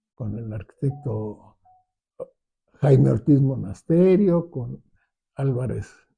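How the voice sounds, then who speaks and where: This man has a medium pitch, a dark, mellow tone and a somewhat breathy sound. His intonation is lively, his pace very slow, and his pauses long and frequent. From Mexico City. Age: 80s+. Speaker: architect. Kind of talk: interview. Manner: halting, many fillers and restarts.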